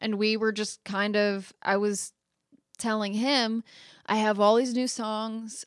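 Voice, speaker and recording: Over a quiet background, a woman with an American accent talks at a very slow pace in a monotone, flat intonation. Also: fairly high pitch for a woman, dry, close sound with no echo. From Phoenix, Arizona. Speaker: singer-songwriter. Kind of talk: interview chat.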